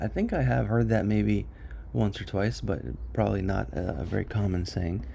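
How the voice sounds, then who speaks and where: A man with an American accent speaks at a very deep, low pitch in a dark, mellow tone with vocal fry. Audible room echo surrounds the voice. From US. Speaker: study group leader. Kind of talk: online study session discussion. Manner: halting, many fillers.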